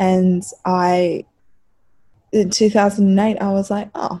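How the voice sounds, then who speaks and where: On a very clean recording with a silent background, a woman speaks at a medium pitch. Her tone is dark and mellow, and somewhat breathy. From Africa. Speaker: women's football writer and website founder. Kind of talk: casual chat.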